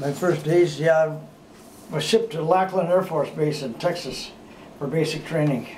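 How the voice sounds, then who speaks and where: The speaker has an American accent and keeps a moderate pace. Intonation stays fairly even over noticeable background noise. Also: man. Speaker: war veteran. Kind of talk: interview answer. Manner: relaxed, conversational.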